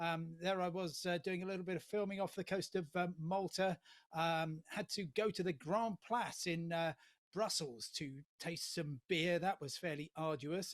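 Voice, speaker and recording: Speaking with a British accent, the man has a high pitch. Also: fairly even intonation, moderate pace, dry, close sound with no echo. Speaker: travel journalist and TV presenter. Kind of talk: humorous guest address at online awards ceremony. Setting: remote video link. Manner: hesitant, many fillers.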